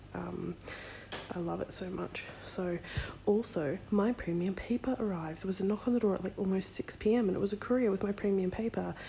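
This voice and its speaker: A soft-spoken woman with an Australian accent, medium pitch, moderate pace, and fairly even intonation, amid noticeable background noise. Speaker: vlogger and sticker shop owner. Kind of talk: casual vlog. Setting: in bed at night.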